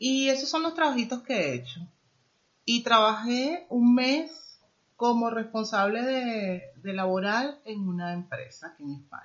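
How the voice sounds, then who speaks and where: Her pitch fairly high, a woman speaks with very wide pitch swings and big swings in loudness. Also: fairly slow pace. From Venezuela. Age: 50s. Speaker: immigrant guest, former manager. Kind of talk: interview.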